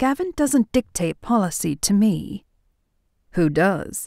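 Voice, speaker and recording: In a very clean recording with a silent background, a woman uses a put-on character voice at a medium pitch and a fairly slow pace. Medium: read story. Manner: smirking, self-assured.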